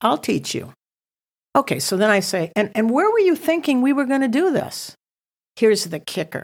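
An animated voice with very wide pitch swings and long, frequent pauses, on a very clean recording with a silent background. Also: woman, fairly high pitch for a woman, moderate pace. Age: 60s. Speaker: missions ministry founder. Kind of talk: testimony.

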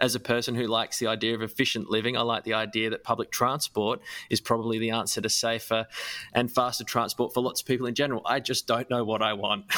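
At a very fast pace, a man with an Australian accent speaks in a bright, sharp tone at a medium pitch with monotone, flat intonation, the sound dry and close with no echo. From Australia, Adelaide. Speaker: podcast host. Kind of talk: casual chat.

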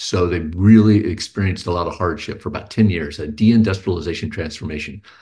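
A man's somewhat breathy, fairly low voice at a very fast pace, with fairly even intonation and a quiet background. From Texas (Houston). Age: 50s. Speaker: writer and musician, cancer patient advocate. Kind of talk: interview conversation. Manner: hesitant, many fillers.

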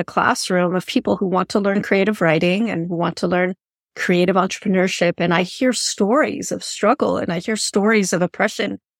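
A woman's normal speaking voice at a medium pitch, moderately paced with ordinary pitch variation, on a very clean recording with a silent background. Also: dry, close sound with no echo. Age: 50s. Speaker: podcast host and fiction writing coach. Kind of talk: interview conversation.

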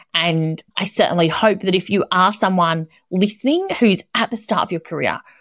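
A woman with an ordinary speaking voice, fairly low in pitch, at a moderate pace, on a very clean recording with a silent background. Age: 40s. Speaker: podcast host, property and construction professional. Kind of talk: solo advice talk.

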